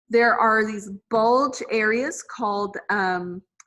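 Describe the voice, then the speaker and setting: With fairly even intonation, a woman talks at medium pitch in an ordinary speaking voice. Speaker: anatomy teacher. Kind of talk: lecture. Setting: video call.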